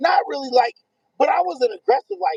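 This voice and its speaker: Very wide pitch swings and an animated tone run through a man's fairly quick speech, recorded with a dry, close sound and no echo. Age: middle-aged. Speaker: online radio show host. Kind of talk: casual chat. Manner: loud.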